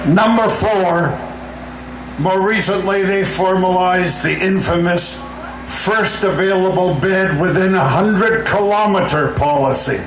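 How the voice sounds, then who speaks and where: Audible room echo and noticeable background noise surround a man with a high pitch. He speaks at a fairly slow pace with ordinary pitch variation and very even loudness. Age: 80s+. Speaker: seniors' advocate. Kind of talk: rally speech. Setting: outdoor rally.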